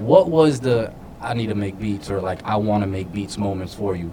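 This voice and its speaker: Noticeable background noise sits behind a man with an American accent who talks at a moderate pace. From Florida. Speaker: podcast host. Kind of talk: casual chat.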